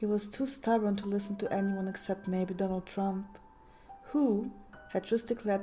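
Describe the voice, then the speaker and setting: Over music in the background, a woman with a German accent talks at a fairly quick pace and a medium pitch, her intonation fairly even. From Germany. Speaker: story narrator. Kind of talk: horror story reading.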